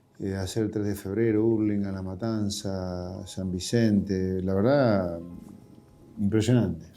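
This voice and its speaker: In a room with audible echo, a man with a fairly low pitch and a dark, mellow tone speaks at a very slow pace. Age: 60s. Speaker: politician. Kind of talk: interview.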